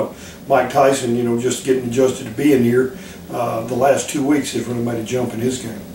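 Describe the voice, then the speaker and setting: A man with a Southern US accent, medium-pitched, at a fairly quick pace, with noticeable background noise and audible room echo. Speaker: football defensive coordinator. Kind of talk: interview. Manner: calm; halting, many repetitions.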